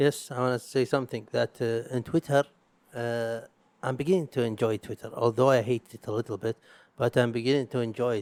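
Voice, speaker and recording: A man with an Arabic accent, medium in pitch, with fairly even intonation at a moderate pace, recorded very cleanly against a silent background in a dry, close sound with no echo. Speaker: podcast host. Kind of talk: casual solo podcast monologue. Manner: halting, with repetitions.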